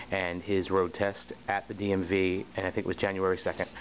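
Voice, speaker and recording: This man has a very deep, low voice. He speaks with a New Jersey accent. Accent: New Jersey American. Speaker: town public relations officer. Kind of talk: casual video blog. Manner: rambling, filler-heavy.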